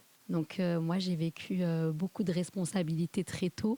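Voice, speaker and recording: In a dry, close sound with no echo, a woman's fairly low, dark and mellow voice holds a monotone, flat intonation. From southern France. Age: 40s. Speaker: podcast guest, mother. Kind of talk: interview testimony.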